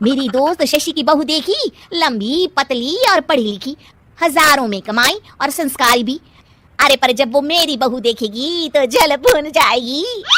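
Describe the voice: A woman uses a cartoonish character voice, high-pitched with a bright, sharp tone. She moves at a fairly slow pace with lively intonation and few pauses.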